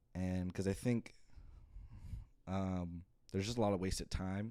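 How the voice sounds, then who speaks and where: Fairly low in pitch, a man is speaking. His intonation stays fairly even. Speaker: podcast host. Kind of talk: casual solo podcast monologue. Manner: fast.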